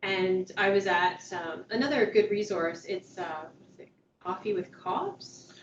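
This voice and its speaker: At a fairly slow pace, a woman with a normal speaking voice talks at medium pitch with fairly even intonation. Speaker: outreach worker and trainer. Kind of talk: training session. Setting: meeting room, also on video call.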